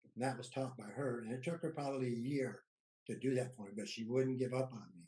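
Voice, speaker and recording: Somewhat breathy and dark, mellow in tone, this man speaks at a very fast pace. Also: medium pitch for a man, fairly even intonation. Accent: Midwestern US. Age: 70s. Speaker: war veteran, cannabis business owner. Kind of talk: casual chat.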